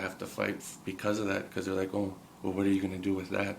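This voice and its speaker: A man's fairly low, monotone, flat delivery with an American accent and audible room echo. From Minnesota, Red Lake reservation. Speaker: college student. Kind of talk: documentary interview.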